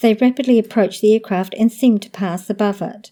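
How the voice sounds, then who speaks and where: A woman's medium-pitched voice with a New Zealand accent, a dark, mellow tone and fairly even intonation, on a very clean recording with a silent background. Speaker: podcast host. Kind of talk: paranormal event narration.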